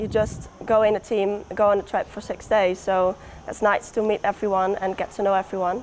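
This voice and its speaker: A woman with a Dutch accent, monotone flat intonation and light background noise. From Netherlands. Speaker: professional football goalkeeper. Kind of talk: interview. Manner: hesitant. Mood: relaxed, cheerful. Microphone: lapel.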